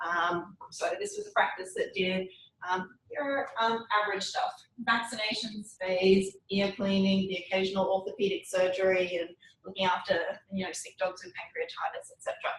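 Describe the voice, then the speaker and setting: With an Australian accent, a woman talks at a moderate pace. Her loudness swings widely. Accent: Australian, noticeable. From Australia, Brisbane. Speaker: veterinary oncologist, university lecturer. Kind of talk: lecture. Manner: casual, with frequent ums.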